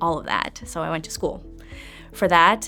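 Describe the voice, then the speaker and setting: Music plays in the background while a woman speaks with a German accent. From East Germany. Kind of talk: interview answer.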